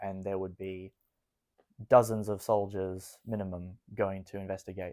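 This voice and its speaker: Set against a silent background in a very clean recording, a man with an Australian accent speaks at a moderate pace and a fairly low pitch, with a dark, mellow tone and monotone, flat intonation. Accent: some Australian. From Israel, Jerusalem. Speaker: army reservist. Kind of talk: interview.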